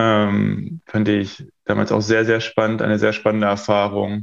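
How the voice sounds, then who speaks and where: The background is quiet. A man talks in a fairly low pitch. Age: 20s. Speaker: feng shui consultant and coach. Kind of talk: interview.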